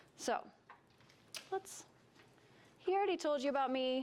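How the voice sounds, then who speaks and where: Soft-spoken, a woman talks at a moderate pace. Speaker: wellness coach and workshop presenter. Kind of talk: workshop presentation. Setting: stage with live audience.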